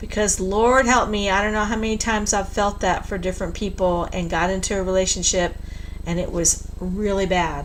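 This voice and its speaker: A woman talks at a fairly quick pace with fairly even intonation. Her voice carries audible room echo and noticeable background noise. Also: medium pitch for a woman. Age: 60s. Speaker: tarot reader. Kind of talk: live stream tarot reading. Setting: live stream at home computer. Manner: blunt, straight-talking.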